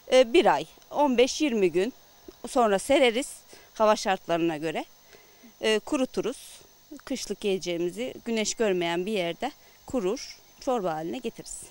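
Lively intonation marks a woman's fairly high voice at a fairly slow pace. She leaves long, frequent pauses, and the sound is dry with no echo. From Antalya, Korkuteli (Turkey). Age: 40s. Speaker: village woman making tarhana. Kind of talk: casual explanation while working. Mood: calm explanatory. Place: garden. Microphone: handheld.

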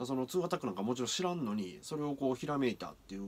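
A man with a Kansai accent and very wide pitch swings, over light background noise. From Kyoto area, Japan; Japan. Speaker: anime reaction youtuber and street performer; anime reaction youtuber. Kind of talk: anime reaction commentary. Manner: animated. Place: home room. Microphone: webcam.

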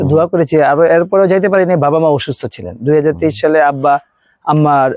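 A man speaks in a plain, everyday voice. His pitch sits fairly high, with ordinary variation. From Bangladesh, born in Dhaka. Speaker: primary school teacher, relative of politician. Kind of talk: interview.

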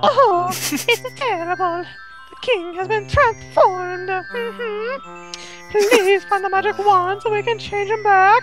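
The speaker uses a put-on character voice at a fairly slow pace. Clear music plays in the background. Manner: anxious, pleading.

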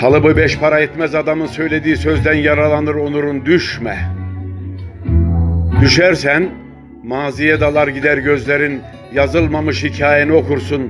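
A man's fairly high voice at a fairly slow pace, very even in loudness, with long, frequent pauses and music in the background. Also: ordinary pitch variation. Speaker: poetry reader. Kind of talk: poetry reading.

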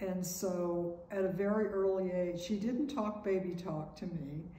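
The speech is fairly slow with fairly even intonation, carrying audible room echo and light background noise. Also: woman. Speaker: painter. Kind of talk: interview. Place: home room. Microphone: camera far.

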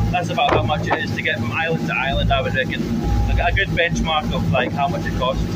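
Loud background noise surrounds a man as he talks. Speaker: travel vlogger. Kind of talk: casual vlog chat. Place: boat. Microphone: phone near.

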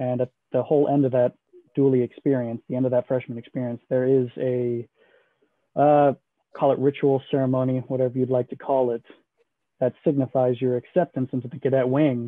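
A man with an American accent at a fairly quick pace, monotone and flat, with long, frequent pauses, a quiet background and a dry sound with no echo. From Houston, Texas. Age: 20s. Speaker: military admissions advisor. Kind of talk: information session presentation. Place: home room. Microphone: video call.

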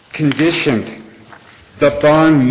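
Amid light background noise and audible room echo, a man speaks at a fairly slow pace with fairly even intonation. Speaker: public commenter. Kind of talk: public comment at county commission meeting. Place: hall. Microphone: podium.

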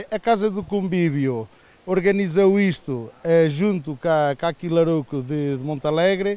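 A man's high-pitched, dark, mellow voice at a fairly slow pace. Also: ordinary pitch variation, dry sound with no echo. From northern Portugal. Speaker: village association organizer. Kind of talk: interview. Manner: halting. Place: open country. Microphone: handheld.

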